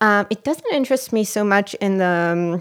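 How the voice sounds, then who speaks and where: On a very clean recording with a silent background, a woman talks with an Israeli accent. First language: Hebrew. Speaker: actress and filmmaker. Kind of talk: podcast interview.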